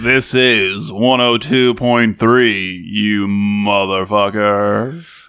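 A man's put-on character voice, fairly low in pitch, at a very slow pace with hardly any pauses. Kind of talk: radio announcer.

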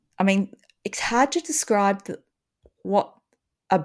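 Ordinary pitch variation marks this voice, heard with an Australian accent. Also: woman. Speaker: podcast host and schoolteacher. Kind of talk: casual chat.

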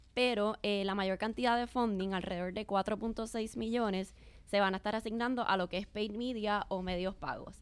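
Her pitch fairly high, a woman talks at a fairly slow pace in a monotone, flat intonation. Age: young. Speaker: marketing director. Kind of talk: interview.

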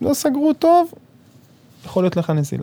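A man speaks with a dark, mellow tone. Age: 30s. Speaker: construction supervisor. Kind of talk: casual interview. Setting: studio.

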